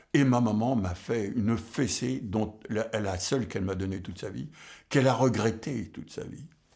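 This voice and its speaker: In a dark, mellow tone, a man speaks fairly low at a moderate pace with ordinary pitch variation. Room echo is audible. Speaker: jazz drummer and music scholar. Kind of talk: lecture. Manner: halting, many hesitations.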